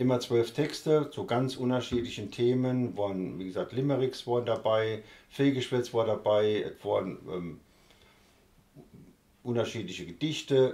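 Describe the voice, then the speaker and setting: A man's dark, mellow voice at a fairly slow pace, with ordinary pitch variation. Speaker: dialect author. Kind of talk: interview answer. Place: home room.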